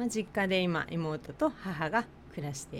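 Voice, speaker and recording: A woman with a Tochigi accent, fairly slow, with very wide pitch swings. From Japan, Tochigi. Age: 40s. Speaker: nurse and podcast co-host. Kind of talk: casual chat.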